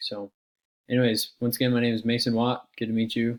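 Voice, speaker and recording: At a fairly quick pace, a man with an American accent talks at medium pitch in a dry, close sound with no echo. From US West, Idaho. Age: 20s. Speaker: university student. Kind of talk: class self-introduction video. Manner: casual, hesitant with fillers.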